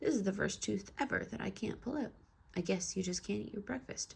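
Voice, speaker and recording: Using a put-on character voice, a woman talks at a fairly quick pace with a raspy sound and a medium pitch. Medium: read story.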